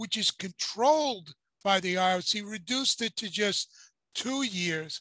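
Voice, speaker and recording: Against a quiet background, a man projects a raised voice with a bright, sharp tone and a dry sound with no echo. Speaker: boxing commentator co-host. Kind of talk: commentary. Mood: critical, indignant. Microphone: video call.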